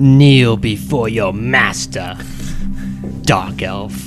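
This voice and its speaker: Someone speaks very slowly in a put-on character voice while clear music plays in the background. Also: man, fairly low pitch for a man. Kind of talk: villainous taunting. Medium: actual play. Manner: mocking, domineering.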